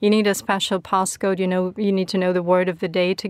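A woman speaks with a Ukrainian accent at a medium pitch and a fairly quick pace. Her delivery is monotone and flat, and the recording is very clean with a silent background. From Ukraine. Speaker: political consultant, former regional MP. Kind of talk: panel discussion. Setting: studio.

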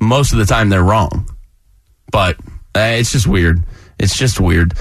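This man talks at a moderate pace with lively intonation and a fairly low pitch. His voice is somewhat breathy. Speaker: sports radio host. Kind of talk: casual chat. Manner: laughing often.

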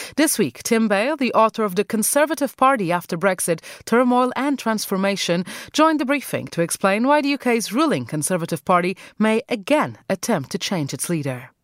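Speaking at a fairly quick pace, a woman with a fairly high pitch makes very wide pitch swings in a dry, close sound with no echo, on a very clean recording with a silent background. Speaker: radio host. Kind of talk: scripted presenting. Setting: studio.

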